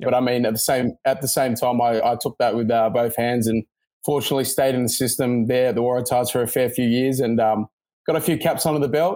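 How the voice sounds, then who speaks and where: A man speaks at a medium pitch with a dark, mellow tone. His intonation is monotone and flat. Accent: Australian. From Sydney, Australia. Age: 20s. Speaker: professional rugby player. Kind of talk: interview.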